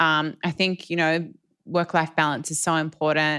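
With an Australian accent, a woman speaks at a moderate pace in a very deep, low pitch and a bright, sharp tone, recorded very cleanly against a silent background. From Ballarat, country Victoria, Australia. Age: 40s. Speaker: fashion designer. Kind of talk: interview. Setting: live at fashion event.

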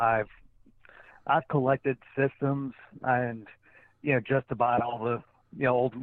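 The speaker has an American accent and a monotone, flat intonation. The pace is fairly slow. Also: man. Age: 30s. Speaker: professional wrestler. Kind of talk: casual interview.

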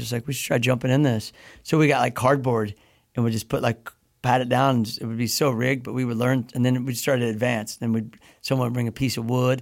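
A very fast man's voice in an American accent, medium in pitch and monotone with flat intonation, on a very clean recording with a silent background. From US Midwest. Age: 50s. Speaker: pro BMX rider. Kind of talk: casual chat. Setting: studio.

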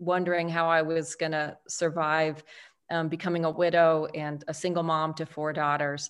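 Speaking in an unremarkable voice, a woman with an American accent has a fairly low pitch and a fairly slow pace. The background is quiet. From Texas, El Paso. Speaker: author and speaker. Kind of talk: interview.

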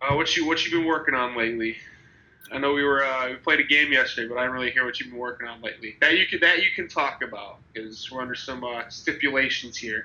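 A man with a middle-range pitch rattles along very fast, with noticeable noise in the background. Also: ordinary pitch variation. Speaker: streamer. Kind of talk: casual chat.

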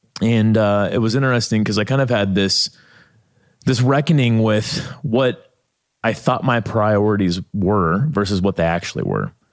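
A man with a Midwestern American accent talks at a moderate pace in a fairly low pitch. His loudness stays very even, with ordinary pitch variation. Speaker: author and documentary maker. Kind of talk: podcast interview.

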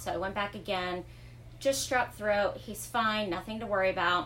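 With an American accent, a woman speaks at a moderate pace and a medium pitch. Her pitch varies in an ordinary way, and the room echo is audible. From Florida, Fort Myers. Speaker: bereaved mother, business owner. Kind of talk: testimony. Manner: hesitant, many ums.

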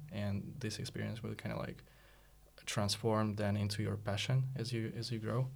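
A man speaks at a moderate pace in a fairly low, somewhat breathy voice with fairly even intonation, and the room echo is audible. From Russia. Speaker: startup co-founder and designer. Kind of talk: casual interview. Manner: halting.

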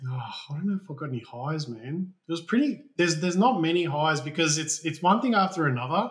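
Talking at a very fast pace with hardly any pauses, a man with an Australian accent uses lively intonation at a fairly high pitch. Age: 30s. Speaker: building designer and owner builder. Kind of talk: interview. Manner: casual, hesitant with fillers.

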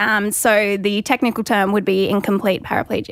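Here a woman speaks with an Australian accent at medium pitch. Her pace is fairly quick. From Gold Coast, Australia. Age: 20s. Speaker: skydiving accident survivor with paraplegia. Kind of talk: casual interview.

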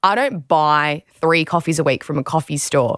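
The speaker has an Australian accent and a moderate pace with ordinary pitch variation. The recording is very clean, with a silent background. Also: woman, dry, close sound with no echo. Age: 20s. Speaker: podcast host, former athlete. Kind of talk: casual chat and narrated diary. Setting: studio.

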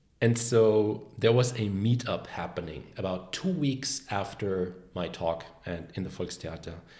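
Somewhat breathy and dark, mellow in tone, a man with a German accent speaks at a fairly slow pace with hardly any pauses, his fairly low pitch showing ordinary variation. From Germany, Bavaria border. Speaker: confidence coach, former animator. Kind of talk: casual interview. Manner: talkative, animated.

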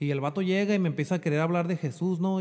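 At a fairly quick pace, a man with a high pitch and a dark, mellow tone speaks with ordinary pitch variation in a very clean recording over a silent background. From Mexico (Jalisco). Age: 30s. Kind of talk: casual interview, personal testimony.

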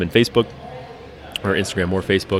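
Over noticeable background noise, a man with an American accent speaks in a very deep, low voice with monotone, flat intonation. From Colorado, Denver area. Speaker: brewery owner. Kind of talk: casual chat. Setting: brewery.

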